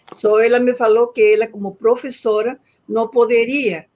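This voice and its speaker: With ordinary pitch variation, this woman talks in a fairly high pitch. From northern Argentina (Santiago del Estero). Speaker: astronomer. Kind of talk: interview. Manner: halting, frequent repetitions.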